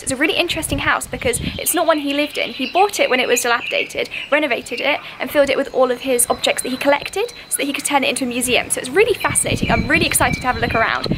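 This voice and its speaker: A woman talks at a very fast pace in a high pitch, with hardly any pauses. Noticeable background noise runs underneath. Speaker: travel vlogger. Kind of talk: casual vlog chat. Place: garden. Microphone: phone near.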